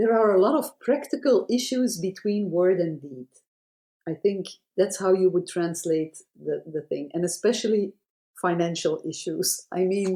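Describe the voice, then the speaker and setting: A woman's dark, mellow tone at a moderate pace, with lively intonation. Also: medium pitch for a woman. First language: Dutch (Flemish). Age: 60s. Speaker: children's author. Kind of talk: interview. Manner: halting.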